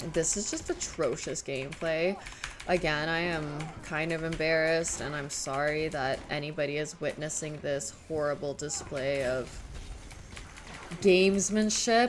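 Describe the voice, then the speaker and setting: A woman with a Southern California accent speaks in a very deep, low pitch at a fairly slow pace. Her pitch varies in an ordinary way, and there is noticeable background noise. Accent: Valley Girl voice. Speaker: video game streamer. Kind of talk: casual live-stream chat.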